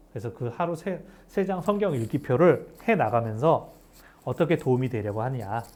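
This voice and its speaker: A fairly high-pitched male voice, full of very wide pitch swings. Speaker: pastor. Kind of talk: bible study lecture. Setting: cold recording room. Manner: fast.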